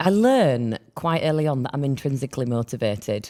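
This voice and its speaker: Speaking fairly quickly in a Yorkshire accent, a woman with a very deep, low pitch and a dark, mellow tone uses ordinary pitch variation. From Yorkshire, northern England. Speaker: podcast co-host. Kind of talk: casual chat.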